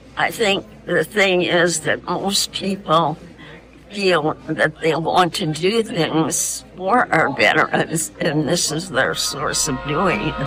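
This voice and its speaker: The talking goes very slowly. Behind it, music can be heard. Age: 80s+. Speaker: veterans group member. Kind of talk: documentary interview.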